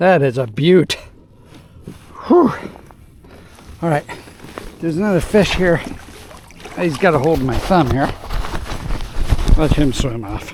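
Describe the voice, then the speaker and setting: Noticeable background noise runs under speech broken by long, frequent pauses. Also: man, fairly high pitch for a man, lively intonation, fairly slow pace. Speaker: fishing video host. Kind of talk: casual vlog commentary while fishing. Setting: outdoors on a boat. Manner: excited exclamations; quiet, hushed.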